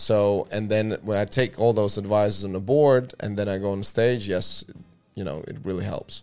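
Speaking at a moderate pace with an Eastern European accent, a man uses a fairly low pitch and fairly even intonation. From Latvia. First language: Russian. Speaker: podcast host. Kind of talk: casual chat.

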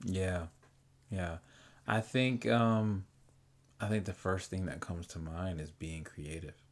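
Pitch variation is ordinary, with long, frequent pauses. The recording is very clean, with a silent background. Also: man, very deep, low pitch for a man, fairly slow pace. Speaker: podcast co-host. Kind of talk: casual chat. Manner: energetic.

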